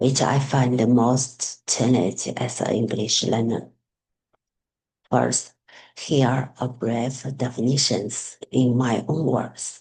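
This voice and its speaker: Someone with a Chinese accent speaks at a very slow pace. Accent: Mandarin Chinese accent in English. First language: Mandarin Chinese. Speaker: student teacher. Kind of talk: class assignment presentation. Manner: halting.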